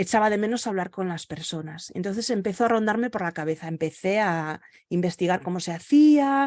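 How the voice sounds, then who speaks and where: A woman's voice carries a dark, mellow tone with ordinary pitch variation. The background is quiet. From Galicia, Spain. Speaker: virtual assistant and podcaster. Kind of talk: interview. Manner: halting, with many fillers.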